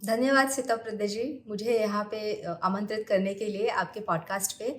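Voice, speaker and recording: A woman's fairly high voice with fairly even intonation, in a Marathi accent. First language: Marathi (speaking Hindi). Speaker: astrologer. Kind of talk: podcast interview. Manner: halting, many hesitations.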